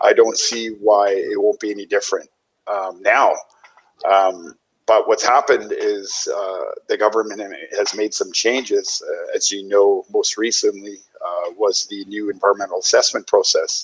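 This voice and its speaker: Speaking at a moderate pace, a man talks in a Canadian accent. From northern British Columbia coast, Canada. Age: 40s. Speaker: guest. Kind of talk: interview. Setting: video call from home kitchen. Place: home room. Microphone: headset.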